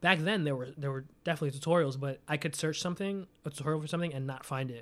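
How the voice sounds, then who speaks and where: On a very clean recording with a silent background, a man with a fairly high pitch talks at a very fast pace. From New York City, Staten Island. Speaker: music producer and beatmaker. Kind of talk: casual interview chat.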